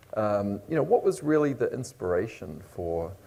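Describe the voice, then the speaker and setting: A man with a New Zealand accent has a fairly low pitch and a dark, mellow tone. His voice is somewhat breathy. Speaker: panel moderator. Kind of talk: panel discussion.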